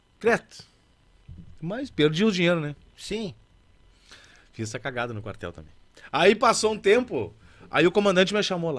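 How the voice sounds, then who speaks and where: Pitched high for a man, this man's voice makes very wide pitch swings and big swings in loudness, broken by long, frequent pauses. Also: moderate pace. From Alegrete, Rio Grande do Sul, Brazil; Rio Grande do Sul, Brazil. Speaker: musician (accordion player and singer); guest. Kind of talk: casual interview chat. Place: studio. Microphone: studio mic.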